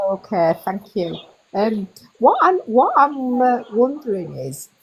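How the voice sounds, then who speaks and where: A woman's fairly high voice with a British accent, very slow, with very wide pitch swings and big swings in loudness. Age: 60s. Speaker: community member asking question. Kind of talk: casual chat.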